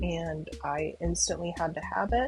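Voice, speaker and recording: Music sounds in the background while a woman talks. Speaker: gaming YouTuber. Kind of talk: casual commentary.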